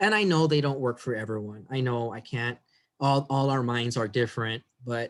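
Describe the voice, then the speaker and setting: Pitch shifts in a typical way. The delivery comes at a moderate speed. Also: man. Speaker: biology instructor. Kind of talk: lecture.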